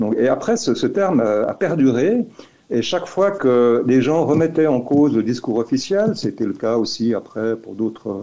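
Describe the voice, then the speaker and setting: A man's medium-pitched voice, dark and mellow in tone, with lively intonation at a fairly slow pace. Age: 60s. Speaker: activist filing a legal complaint. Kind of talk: interview. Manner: halting, many fillers and repetitions.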